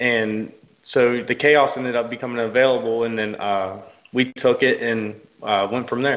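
With a Southern US accent, a man speaks at medium pitch and a fairly slow pace in a monotone, flat intonation. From Kentucky. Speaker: football coach and GM. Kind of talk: interview. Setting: video call.

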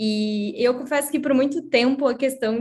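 A somewhat breathy woman's voice with ordinary pitch variation, on a very clean recording with a silent background. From Brazil, Curitiba. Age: 30s. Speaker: designer. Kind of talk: casual chat.

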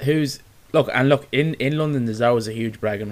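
The speaker has an Irish accent and a fairly quick pace. Pitch varies in an ordinary way. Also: man. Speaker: sports podcast host. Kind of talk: casual chat.

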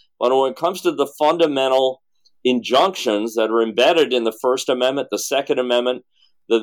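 A man's plain, everyday voice at medium pitch and a moderate pace, in a very clean recording with a silent background. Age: 60s. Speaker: presidential candidate. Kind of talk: casual interview.

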